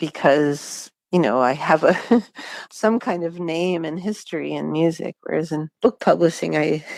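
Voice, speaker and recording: With an American accent and vocal fry, a woman talks at a moderate pace in a very deep, low voice with ordinary pitch variation. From Pittsburgh, US. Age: 50s. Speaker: singer-songwriter. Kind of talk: interview. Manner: hesitant with fillers.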